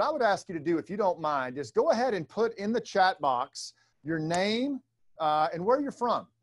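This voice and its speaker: With very wide pitch swings, a man speaks at a moderate pace. The background is quiet. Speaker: leadership trainer hosting a webinar. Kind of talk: webinar presentation to a live audience. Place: studio.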